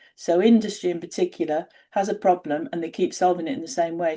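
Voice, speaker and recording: This woman has a fairly low pitch and a dark, mellow tone. She speaks with a northern English accent. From northern England. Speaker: independent researcher. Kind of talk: interview conversation.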